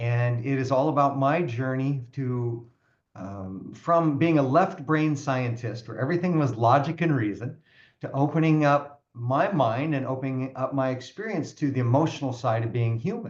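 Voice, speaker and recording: This man talks in a normal speaking voice at a medium pitch. His pace is moderate. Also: ordinary pitch variation. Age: 60s. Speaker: personal growth coach and author. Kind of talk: podcast interview.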